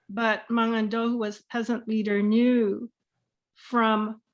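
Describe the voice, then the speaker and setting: A woman's fairly high voice at a very slow pace, over a quiet background. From Philippines. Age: 70s. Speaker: keynote speaker, educator. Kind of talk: keynote lecture.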